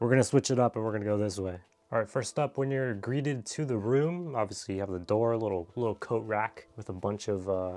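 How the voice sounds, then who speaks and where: Faint background music behind a man talking fairly quickly. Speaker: tech youtuber. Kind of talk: casual room tour narration. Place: home room. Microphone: phone near.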